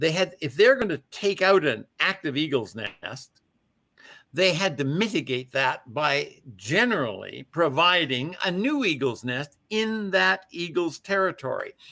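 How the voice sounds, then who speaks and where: A man's high voice, bright and sharp in tone, with very wide pitch swings, a fairly slow pace and a quiet background. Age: 80s+. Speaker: eagle nest builder, wildlife conservationist. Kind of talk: interview.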